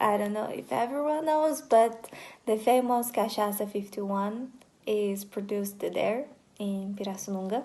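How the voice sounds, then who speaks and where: This woman's pitch is fairly high. It moves up and down in an ordinary way. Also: moderate pace. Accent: Portuguese. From Brazil, countryside of São Paulo state. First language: Portuguese. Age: 20s. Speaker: vlogger, university student. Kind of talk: casual self-introduction vlog. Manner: hesitant, with fillers.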